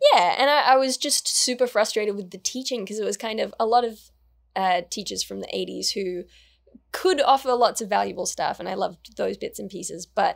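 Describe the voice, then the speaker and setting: A woman with an Australian accent against a quiet background. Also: fairly quick pace, big swings in loudness. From Australia, New South Wales. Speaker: actor, writer and YouTuber; actor, YouTuber. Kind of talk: interview. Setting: studio interview set. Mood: relaxed, reflective. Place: studio. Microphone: studio mic.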